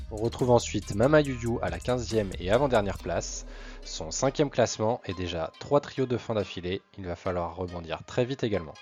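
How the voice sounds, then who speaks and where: This man speaks at a medium pitch and a moderate pace. His intonation is lively, with music in the background. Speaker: manga news youtuber. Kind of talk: casual talk to camera, manga ranking review.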